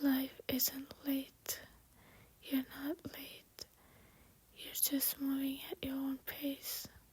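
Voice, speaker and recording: Soft-spoken and gentle, calm in tone, a woman talks at a very slow pace with a high pitch, monotone, flat intonation and long, frequent pauses. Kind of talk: soft late-night voiceover ramble. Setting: voiceover recorded over makeup video. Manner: soft-spoken, gentle, calm.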